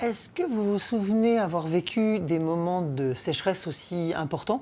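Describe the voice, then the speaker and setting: A woman speaks at a fairly slow pace with a dark, mellow tone and lively intonation, her loudness very even. The recording is very clean with a silent background. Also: medium pitch for a woman. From Brittany, France. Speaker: documentary presenter and sea adventurer. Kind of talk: documentary interview.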